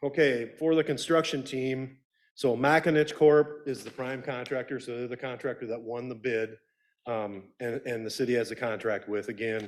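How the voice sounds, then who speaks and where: In a very clean recording with a silent background, a man speaks at a moderate pace and medium pitch, his intonation fairly even. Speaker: city engineer. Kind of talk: public presentation. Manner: loud.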